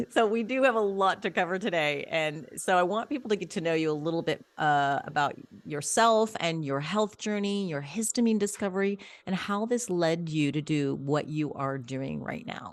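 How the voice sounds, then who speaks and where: Her intonation is lively and her pace moderate. This woman has a fairly low pitch and a normal speaking voice. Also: very clean recording, silent background. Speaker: podcast host. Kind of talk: podcast interview.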